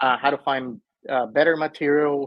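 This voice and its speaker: In a Spanish accent, a man speaks with a fairly high pitch. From Venezuela. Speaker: mobile home investor. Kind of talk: interview.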